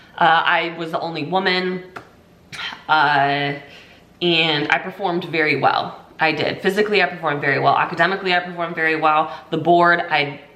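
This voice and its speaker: With an American accent and a monotone, flat intonation, a woman speaks at a moderate pace amid noticeable background noise and audible room echo. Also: fairly low pitch for a woman. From US Pacific Northwest, Washington State. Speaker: army veteran. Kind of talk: casual vlog monologue. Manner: casual, filler-heavy.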